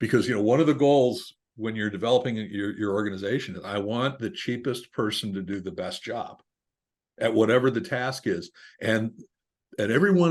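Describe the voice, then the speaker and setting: Against a quiet background, a man with an unremarkable speaking voice talks fairly quickly at medium pitch, his intonation lively. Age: 60s. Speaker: business owner. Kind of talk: interview.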